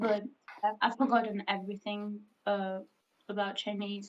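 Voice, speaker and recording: Speaking slowly in a Hungarian accent, a woman with a medium pitch keeps a monotone, flat intonation and leaves long, frequent pauses. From Greece. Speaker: livestreamer. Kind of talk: casual chat.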